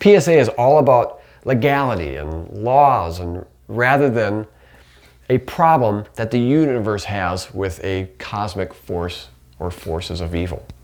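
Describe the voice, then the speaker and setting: In a plain, everyday voice, a man talks at a fairly slow pace with a fairly low pitch. His intonation is lively, and his loudness swings widely. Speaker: podcast host. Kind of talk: theological teaching monologue.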